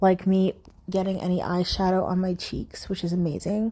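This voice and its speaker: A woman talks at a medium pitch. It is a normal speaking voice. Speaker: beauty vlogger. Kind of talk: makeup tutorial voiceover. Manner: casual, filler-heavy.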